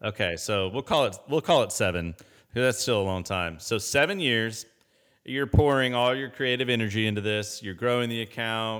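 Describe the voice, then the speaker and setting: At a moderate pace, a normal speaking voice with an American accent shows ordinary pitch variation on a very clean recording with a silent background. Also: man, medium pitch for a man. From US Midwest, Indianapolis. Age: 30s. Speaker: podcast host. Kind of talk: casual interview chat.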